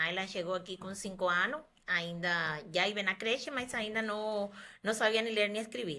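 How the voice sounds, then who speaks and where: Speaking at a moderate pace with a Spanish accent, a woman has a medium pitch and a bright, sharp tone. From Cuba. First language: Spanish (speaking Portuguese). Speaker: doctor. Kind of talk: podcast interview.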